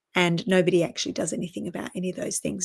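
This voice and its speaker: Vocal fry runs through this voice. The recording is very clean, with a silent background. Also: woman. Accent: Australian. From Australia. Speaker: personal strategy coach. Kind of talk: casual vlog talk to camera. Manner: conversational with fillers.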